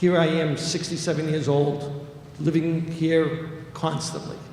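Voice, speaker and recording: Amid noticeable background noise and audible room echo, a man with a Boston accent talks at a fairly high pitch with monotone, flat intonation. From Revere, Massachusetts (Boston area). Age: 60s. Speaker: city councilor. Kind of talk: public hearing testimony. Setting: public hearing.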